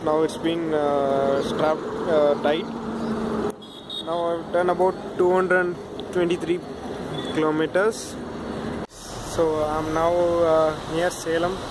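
A man at a very slow pace with long, frequent pauses, dry sound with no echo, and noticeable background noise. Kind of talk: casual vlog chat. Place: street. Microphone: phone near.

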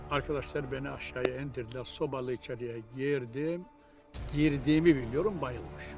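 There is music in the background. Over it, a man talks at a medium pitch. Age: 80s+. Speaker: imam. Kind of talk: documentary interview answer.

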